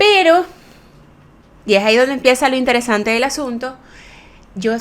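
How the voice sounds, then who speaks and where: Her pitch moves with ordinary variation as the woman talks. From Venezuela, Maracaibo. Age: middle-aged. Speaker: aesthetic medicine doctor and podcast host. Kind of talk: casual podcast monologue. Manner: fast.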